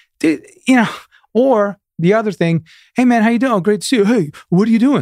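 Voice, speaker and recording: Dry and close with no echo, a man with a New York accent talks at a moderate pace in a high pitch. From Long Island, New York. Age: 50s. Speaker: guitarist and music director. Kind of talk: casual interview chat.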